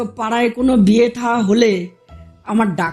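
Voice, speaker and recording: The intonation stays fairly even. Music sounds in the background. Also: woman. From India. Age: middle-aged. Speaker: housewife storyteller. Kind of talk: personal anecdote told to listeners. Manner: casual, humorous.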